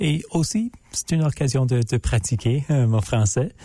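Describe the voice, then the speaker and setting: A man with an English accent speaks at a fairly slow pace in a somewhat breathy voice with a dark, mellow tone. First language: English (speaking French). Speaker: law student intern. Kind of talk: radio interview. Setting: radio studio. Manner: halting, many hesitations.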